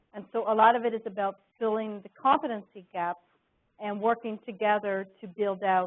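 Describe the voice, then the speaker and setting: Fairly high in pitch, a woman speaks in a plain, everyday voice with fairly even intonation. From Canada. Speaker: innovation consultant. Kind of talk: presentation Q&A.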